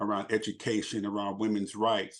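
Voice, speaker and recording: A man with an American accent speaks in a fairly low, flat monotone against a quiet background. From Los Angeles, US. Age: 60s. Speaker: abuse survivor and speaker. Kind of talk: interview.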